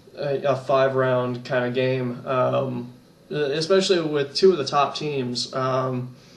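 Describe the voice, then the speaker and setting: Over noticeable background noise and audible room echo, a man of medium pitch talks at a fairly slow pace with fairly even intonation. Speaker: gaming YouTuber. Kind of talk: casual vlog monologue. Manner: hesitant, many fillers and repeats.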